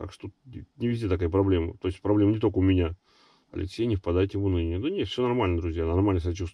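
A man's very deep, low, somewhat breathy voice at a very fast pace, with a dry sound with no echo and a quiet background. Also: fairly even intonation. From Russia, Nizhny Novgorod; Russia. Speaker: travel vlogger. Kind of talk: casual chat, reading viewer comments. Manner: casual, halting. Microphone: phone near.

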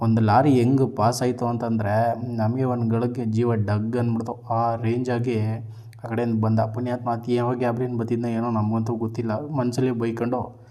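Monotone, flat delivery from a man at medium pitch, with noticeable background noise and audible room echo. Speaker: vlogger. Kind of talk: vlog narration. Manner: casual.

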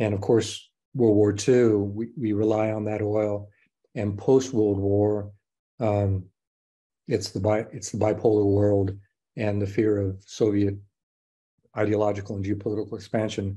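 A man's fairly low, dark and mellow voice with an American accent, monotone and flat, at a fairly slow pace with long, frequent pauses against a quiet background. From Mexico (Guadalajara), American family. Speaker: professor. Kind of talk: interview. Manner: frequent repetitions and fillers. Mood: calm, measured. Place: home room. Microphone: webcam.

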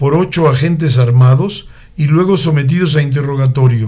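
Somewhat breathy, a man talks at a moderate pace with a fairly high pitch. His intonation stays fairly even. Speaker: radio chronicle narrator. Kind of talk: radio chronicle narration, historical news-style reading. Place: studio.

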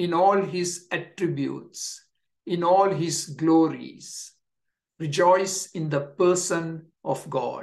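A man's very slow delivery, ordinary pitch variation and a quiet background. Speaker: pastor. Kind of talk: sermon. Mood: warm, encouraging. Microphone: webcam.

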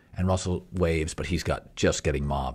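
A man speaks at a moderate pace with vocal fry against a quiet background. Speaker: podcast host. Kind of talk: casual podcast storytelling. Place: home room. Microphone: studio mic.

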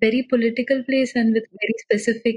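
A woman's somewhat breathy, monotone and flat voice at a fairly quick pace. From India, Pune. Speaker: data journalist. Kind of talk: interview conversation.

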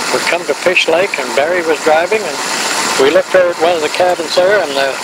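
A man's dry voice, with no echo, comes through loud background noise. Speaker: grandfather telling family history. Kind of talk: elderly man's rambling travel reminiscence, storytelling to family. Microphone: old recording.

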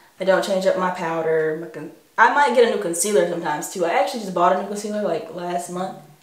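A woman's voice with fairly even intonation and audible room echo. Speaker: beauty vlogger. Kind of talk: casual makeup tutorial chat.

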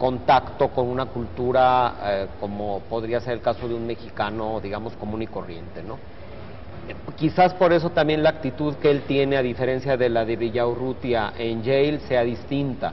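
A man at a moderate pace, with ordinary pitch variation and light background noise. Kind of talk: interview answer. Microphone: lapel.

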